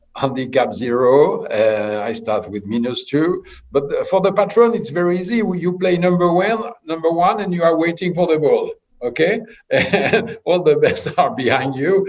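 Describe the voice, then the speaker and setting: A man with a high-pitched voice swings very widely in pitch, speaking at a moderate pace. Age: 70s. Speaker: polo player and sports official. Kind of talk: panel interview. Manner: halting.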